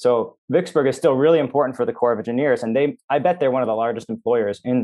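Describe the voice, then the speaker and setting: With an American accent, a man talks at a very fast pace in a medium pitch, his intonation fairly even. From Minnesota, US Midwest. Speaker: journalist and author. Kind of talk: interview conversation.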